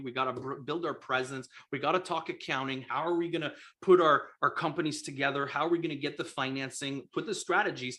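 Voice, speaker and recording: Speaking at a very fast pace, a man with a strong French accent has a fairly high pitch and a bright, sharp tone. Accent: thick French. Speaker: real estate investor and coach. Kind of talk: live stream sales pitch. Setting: live video stream. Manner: animated.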